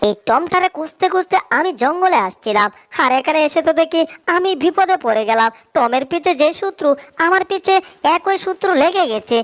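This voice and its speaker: This cartoonish character voice has an extremely high pitch and moves at a moderate pace. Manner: chatty, playful.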